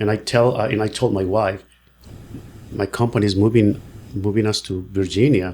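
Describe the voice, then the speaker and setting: A man with a Mexican accent, fairly even intonation, and a moderate pace. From Mexico. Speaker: real estate agent. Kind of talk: podcast interview. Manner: halting.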